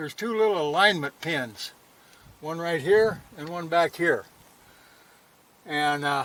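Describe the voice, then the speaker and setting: Pausing long and often, a man with a high voice speaks at a fairly slow pace, showing ordinary pitch variation and big swings in loudness. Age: 70s. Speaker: motorcycle vlogger. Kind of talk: casual tutorial. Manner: casual, plain-spoken.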